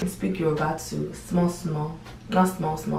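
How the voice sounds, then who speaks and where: A woman with an American accent speaks at a fairly quick pace and fairly low pitch, with noticeable background noise and audible room echo. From United States, raised from age six. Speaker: YouTuber. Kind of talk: casual vlog talk. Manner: casual, filler-heavy.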